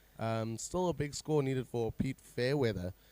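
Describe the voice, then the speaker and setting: In a very clean recording, a man talks with nothing but silence behind him. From South Africa. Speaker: surf contest commentator. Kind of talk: live commentary. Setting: commentary booth.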